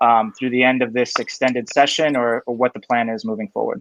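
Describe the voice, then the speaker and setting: Talking at a very fast pace, a man uses a medium pitch with ordinary pitch variation. The sound is dry and close, with no echo. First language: Spanish. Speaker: livestream host, gun safety advocate. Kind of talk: casual live video chat.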